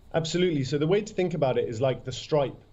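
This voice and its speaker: A man with a British accent sounds somewhat breathy and uses ordinary pitch variation. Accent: British, noticeable. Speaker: startup CEO. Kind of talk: interview. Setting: remote video link from London. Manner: enthusiastic.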